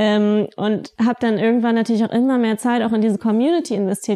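A woman with a dark, mellow tone and fairly high pitch speaks fairly quickly in a monotone, flat way. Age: 20s. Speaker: blogger and social media consultant. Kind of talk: casual interview.

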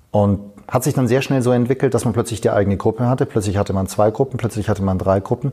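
Very fast, somewhat breathy delivery with a dark, mellow tone, fairly even intonation and very even loudness. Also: man, medium pitch for a man. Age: 40s. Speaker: fitness coach. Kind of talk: interview. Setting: fitness conference.

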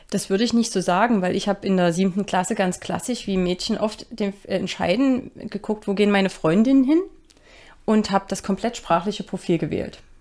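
A woman with an unremarkable speaking voice talks at a fairly quick pace with ordinary pitch variation, in a very clean recording with a silent background. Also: medium pitch for a woman. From Germany, Saxony (Dresden). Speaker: procurement director at a chip maker. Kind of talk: interview.

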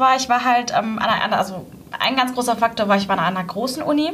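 With noticeable background noise behind her, a woman speaks in a high pitch with ordinary pitch variation. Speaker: university student and intern. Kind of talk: interview. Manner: hesitant, many filler sounds.

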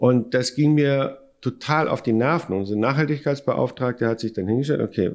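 Lively in intonation and fairly quick in pace, this is an unremarkable speaking voice on a very clean recording with a silent background. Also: man. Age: 50s. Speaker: company founder. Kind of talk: interview.

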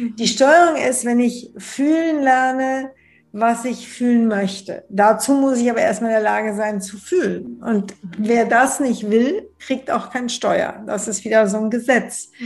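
A woman with an unremarkable speaking voice talks at a fairly slow pace and fairly high pitch, with ordinary pitch variation and a quiet background. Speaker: bestselling author on love and relationships. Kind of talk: interview conversation.

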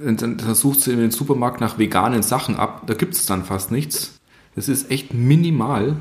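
Using an ordinary speaking voice, a man talks at a moderate pace in a medium pitch with ordinary pitch variation. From Upper Bavaria, Germany. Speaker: carpenter. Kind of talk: casual chat.

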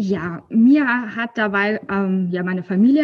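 A somewhat breathy woman speaks at a very slow pace with ordinary pitch variation. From Rhineland, near Cologne, Germany. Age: 30s. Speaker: library worker sharing her weight-loss story. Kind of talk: casual interview. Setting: video call from her workplace library. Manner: hesitant, many filler sounds.

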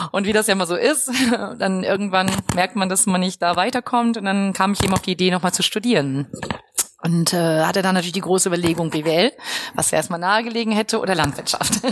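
A woman at medium pitch, very fast, with ordinary pitch variation and very even loudness over noticeable background noise. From Westphalia, Germany (Lippstadt). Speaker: professor of agricultural business. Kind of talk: interview. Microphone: poor recording quality.

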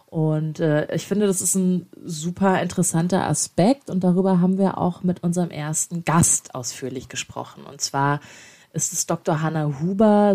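Recorded very cleanly against a silent background, a woman speaks in a fairly low, dark, mellow voice with ordinary pitch variation. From Baden-Württemberg, small town. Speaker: podcast co-host, communications manager. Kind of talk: casual chat. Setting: office.

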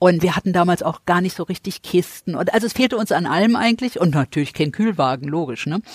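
The delivery is very fast, with hardly any pauses and lively intonation. The sound is dry and close, with no echo. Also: woman, fairly low pitch for a woman. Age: 60s. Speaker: charity founder and entrepreneur. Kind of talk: interview.

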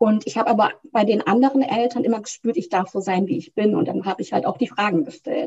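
A woman speaks in a fairly high pitch with lively intonation. Her voice is somewhat breathy. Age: 30s. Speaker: couples coach. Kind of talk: interview.

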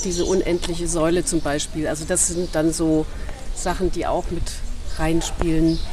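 Fairly even intonation at a moderate pace, with noticeable background noise and audible room echo. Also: woman. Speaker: ceramic artist. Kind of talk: casual interview. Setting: outdoors.

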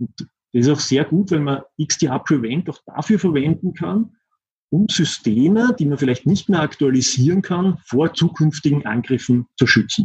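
A man speaks with an Austrian accent, his fairly high voice somewhat breathy and his intonation lively. His pace is moderate, and the sound is dry and close with no echo. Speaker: systems engineer. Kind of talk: interview. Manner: halting.

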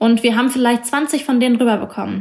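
A woman speaks in a high pitch with ordinary pitch variation over noticeable background noise. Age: 20s. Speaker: journalist. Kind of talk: interview.

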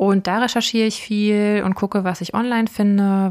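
Her medium-pitched delivery is monotone and flat, at a fairly quick pace. The woman is heard in a very clean recording with a silent background. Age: 30s. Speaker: podcast host. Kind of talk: casual Q&A chat.

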